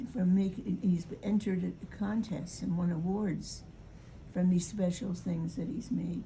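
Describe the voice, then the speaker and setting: Dark, mellow, somewhat breathy tones from a woman at medium pitch, fairly slow in pace and fairly even in intonation. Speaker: grandmother recalling family history. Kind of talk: casual chat. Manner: halting.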